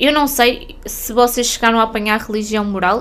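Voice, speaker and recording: The voice moves at a fairly quick pace with fairly even intonation over noticeable background noise. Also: woman. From northern Portugal. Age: 30s. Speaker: podcast host and spiritual mentor. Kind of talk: casual monologue podcast.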